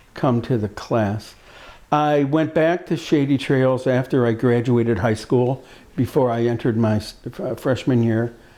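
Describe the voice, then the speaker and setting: A man speaks in a dark, mellow tone. He has a Midwestern American accent. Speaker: speech pathologist, former camper. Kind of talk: personal reminiscence. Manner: halting, many fillers and repetitions.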